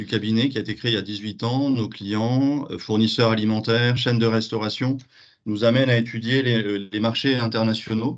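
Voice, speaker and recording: Against a quiet background, a man with a slight southwestern French accent speaks at a moderate pace and medium pitch, his intonation fairly even. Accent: slight southwest French. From southwest France. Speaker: business founder. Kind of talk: webinar panel talk.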